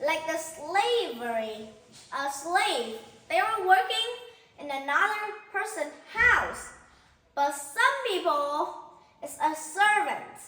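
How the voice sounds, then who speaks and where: A woman speaks with an extremely high pitch in a raised, projected voice, bright and sharp in tone. Her pitch swings very widely at a very slow pace, with long, frequent pauses and audible room echo. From Vietnam. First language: Vietnamese. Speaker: teacher. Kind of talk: lesson.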